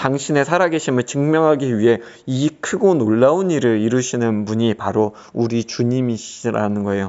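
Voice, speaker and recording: His pitch is medium and his pitch variation ordinary as this man, with an ordinary speaking voice, moves along at a moderate pace. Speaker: pastor. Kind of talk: religious teaching talk. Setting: solo recording.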